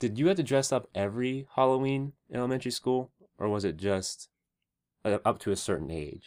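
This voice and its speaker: A man with a plain, everyday voice, medium pitch, lively intonation and a fairly quick pace. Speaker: podcast co-host. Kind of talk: casual chat.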